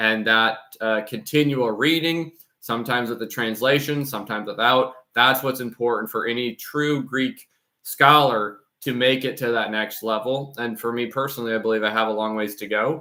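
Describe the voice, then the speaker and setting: This man's voice has a bright, sharp tone and a medium pitch. He keeps a moderate pace and fairly even intonation. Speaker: channel host reading Greek church texts. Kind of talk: casual talk to camera about channel plans. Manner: many fillers and repeated words.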